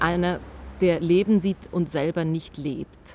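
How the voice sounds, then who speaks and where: A woman speaks with a dark, mellow tone. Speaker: interviewer. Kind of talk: interview. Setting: outdoors.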